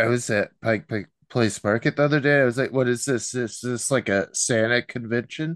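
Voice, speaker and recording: Heard dry and close with no echo, a man with an ordinary speaking voice talks at a moderate pace. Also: medium pitch for a man, fairly even intonation, quiet background. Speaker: podcast host. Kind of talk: casual chat.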